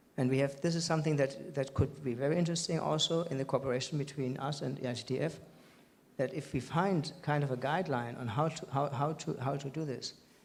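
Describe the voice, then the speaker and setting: Somewhat breathy, a man with a fairly high pitch talks in a fairly even intonation. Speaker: panelist with a disease. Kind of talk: panel discussion.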